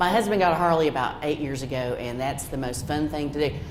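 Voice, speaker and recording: A woman talking at a very fast pace amid audible room echo. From western North Carolina, Haywood County. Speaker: credit union representative. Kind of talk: presentation. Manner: casual, folksy.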